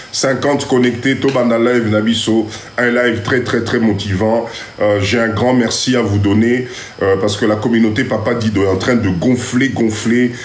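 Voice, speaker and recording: Noticeable background noise sits under a man's voice, pitched in the medium range. An audible echo from the room comes through too. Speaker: live stream host, community mentor. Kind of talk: live stream address to viewers. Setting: live stream on TikTok. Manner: animated.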